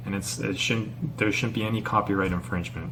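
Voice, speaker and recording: A man with a Canadian accent talks at a fairly quick pace and a fairly low pitch. His pitch varies an ordinary amount, with noticeable background noise. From Canada. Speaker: YouTuber, teacher in China. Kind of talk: casual vlog monologue. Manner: halting, stuttering.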